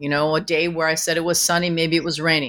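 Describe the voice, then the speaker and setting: In a very clean recording with a silent background, a woman with a Canadian accent and a fairly low pitch uses an ordinary speaking voice at a fairly quick pace. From Canada, Vancouver. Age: 50s. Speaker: author and former music manager. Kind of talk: interview.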